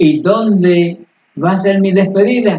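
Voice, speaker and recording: A man at a very slow pace. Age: 90s. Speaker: radio host. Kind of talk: educational talk.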